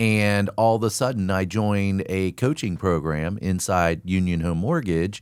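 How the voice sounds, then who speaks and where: On a very clean recording with a silent background, a man with a very deep, low voice speaks at a fairly slow pace, with hardly any pauses, ordinary pitch variation and very even loudness. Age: 60s. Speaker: mortgage loan officer. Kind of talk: podcast interview. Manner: casual, with filler words.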